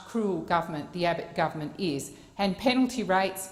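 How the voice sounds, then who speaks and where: A woman with an Australian accent at a medium pitch, with audible room echo. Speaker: senator. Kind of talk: parliamentary speech. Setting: Senate chamber. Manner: formal.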